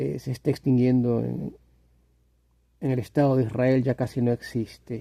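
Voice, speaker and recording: A man speaks at a moderate pace in a medium pitch with a dark, mellow tone, his intonation fairly even and broken by long, frequent pauses. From Latin America. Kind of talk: casual monologue to camera. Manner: hesitant, repetitive, reflective.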